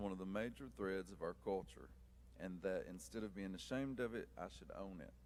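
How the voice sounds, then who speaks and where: Speaking with an Appalachian accent, a man with a very deep, low pitch and vocal fry moves at a moderate pace through very wide pitch swings. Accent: Appalachian, kept. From eastern Kentucky, Appalachia. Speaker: author and teacher. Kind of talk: prepared talk to audience.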